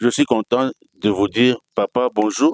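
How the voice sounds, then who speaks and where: In a dry, close sound with no echo, a man speaks at a very slow pace with a medium pitch and fairly even intonation. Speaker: TV show host. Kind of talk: TV interview.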